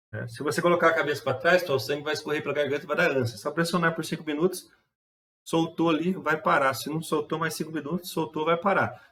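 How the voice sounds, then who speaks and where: At a very fast pace, a man speaks in a fairly high pitch with a bright, sharp tone. His intonation stays fairly even. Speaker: driving instructor. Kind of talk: lecture. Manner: casual.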